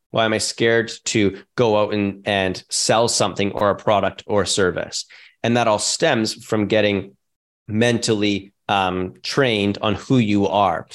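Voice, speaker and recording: Over a quiet background, a man with an unremarkable speaking voice, fairly low in pitch, talks at a fairly slow pace with very even loudness and fairly even intonation. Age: 30s. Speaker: real estate investor and entrepreneur. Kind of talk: interview conversation.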